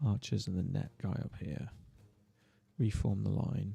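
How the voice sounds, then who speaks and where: Lively intonation marks this voice with a British accent, heard over music in the background. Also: man. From Britain. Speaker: gaming streamer. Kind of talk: live gameplay commentary. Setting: livestream.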